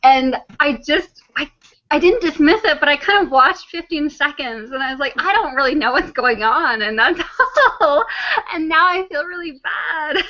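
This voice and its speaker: A woman's raised, projected voice runs high in pitch at a moderate pace, with very wide pitch swings. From Canada. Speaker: flat earth video creator and translator. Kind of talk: casual chat.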